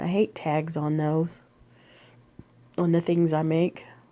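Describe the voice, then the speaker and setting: Fairly slow in pace, a woman speaks with a dark, mellow tone. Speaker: crafts video maker. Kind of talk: tutorial. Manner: casual, halting with fillers.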